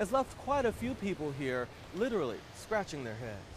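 In dry sound with no echo and light background noise, a man with an American accent talks at a high pitch. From United States. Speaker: news anchor and reporter. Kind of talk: TV news anchor and field reporter reel. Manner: polished, upbeat, professional broadcast delivery. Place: beach.

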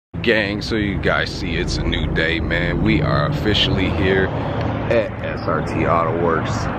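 Loud background noise sits behind the speech. The pace is fairly slow, with ordinary pitch variation. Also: man, dry sound with no echo. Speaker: car vlogger. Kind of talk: casual vlog chat. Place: street. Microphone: phone near.

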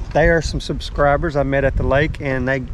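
Background noise is clearly noticeable behind a male speaker. His voice sounds dry, without any echo. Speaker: fishing vlogger. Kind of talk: casual vlog chat. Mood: relaxed, cheerful. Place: boat. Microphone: phone near.

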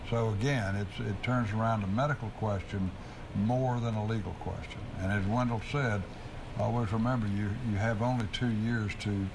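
Against noticeable background noise, a man with a fairly low voice talks at a moderate pace, his loudness very even and his intonation fairly even. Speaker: lawyer answering legal questions on radio. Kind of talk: call-in legal advice show. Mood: calm, reassuring. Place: studio. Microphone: lapel.

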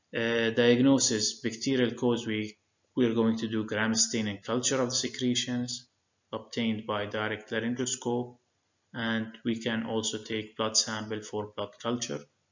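In an Arabic accent, a man talks at a moderate pace in a flat, monotone delivery. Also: medium pitch for a man. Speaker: medical lecturer. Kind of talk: lecture. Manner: frequent filler hesitations.

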